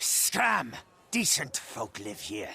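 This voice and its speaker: A man growls in a put-on character voice at a medium pitch. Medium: video game. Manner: blustering.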